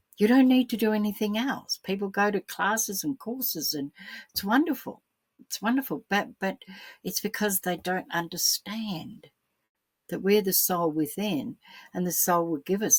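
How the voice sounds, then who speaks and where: An Australian-accented woman's somewhat breathy, medium-pitched voice with lively intonation at a moderate pace, recorded dry and close with no echo. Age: 70s. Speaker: spiritual teacher. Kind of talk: solo spiritual talk. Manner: repetitive, hesitant.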